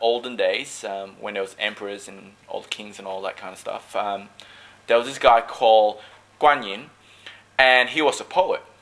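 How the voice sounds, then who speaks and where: A man speaks at a moderate pace in a medium pitch with lively intonation. Noticeable background noise runs under the recording. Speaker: dragon boat paddler. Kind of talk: casual interview.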